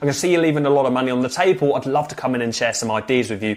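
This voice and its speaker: A man with a British accent speaks at a very fast pace in an animated tone with ordinary pitch variation. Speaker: business coach. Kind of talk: tutorial.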